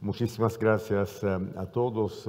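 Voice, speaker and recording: A man with an Italian accent speaks very slowly at a fairly low pitch with fairly even intonation. Noticeable background noise runs under his voice. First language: Italian (speaking Spanish). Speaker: ambassador. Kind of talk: panel discussion. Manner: hesitant, many filler sounds.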